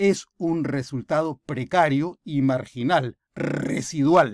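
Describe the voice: In a very clean recording with a silent background, a man speaks slowly at a fairly high pitch, with vocal fry, a slightly mellow tone and ordinary pitch variation. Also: dry, close sound with no echo.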